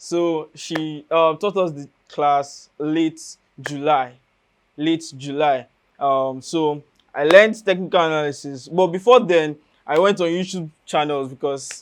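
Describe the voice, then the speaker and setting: Against a quiet background, a man with a Nigerian accent speaks at a fairly high pitch. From Nigeria, Enugu State. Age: young. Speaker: university student and trader. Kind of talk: interview.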